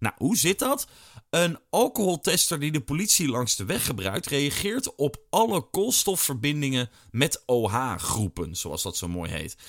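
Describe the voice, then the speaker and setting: On a very clean, dry, close recording with a silent background and no echo, a man speaks fairly slowly at a fairly high pitch with vocal fry and very wide pitch swings. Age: 30s. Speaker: podcast host. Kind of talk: casual personal diary podcast.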